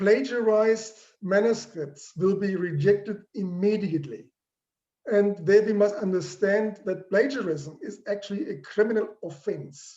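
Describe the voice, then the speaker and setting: The speaker has a dark, mellow tone and a non-native accent. Delivery is fairly slow, with ordinary pitch variation. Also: man, high pitch for a man. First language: not English. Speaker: professor. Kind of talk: lecture.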